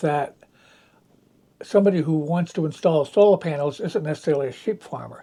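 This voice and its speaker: A man speaks in a dark, mellow tone at a fairly high pitch, with ordinary pitch variation. He leaves long, frequent pauses. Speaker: organic farmer. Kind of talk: interview answer.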